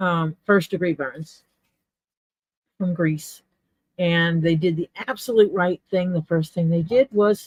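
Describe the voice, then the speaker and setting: A woman with an American accent, fairly low pitch, ordinary pitch variation and a somewhat breathy voice, at a fairly slow pace, in a dry, close sound with no echo. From US South, Mississippi Gulf Coast. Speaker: leatherworker. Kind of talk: casual chat. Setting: live stream.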